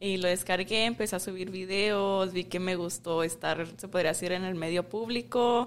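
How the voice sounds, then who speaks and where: A woman speaks in a normal speaking voice at a medium pitch. Her pace is moderate, and her pitch variation is ordinary. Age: 20s. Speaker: beauty pageant winner and model. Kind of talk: casual interview. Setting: outdoors in a park.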